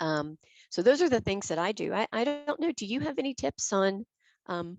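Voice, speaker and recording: Music plays behind a woman who speaks at a moderate pace and a medium pitch, with very wide pitch swings. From US South. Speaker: webinar co-host. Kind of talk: live webinar discussion. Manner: clearly enunciated. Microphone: headset directional microphone close to mouth.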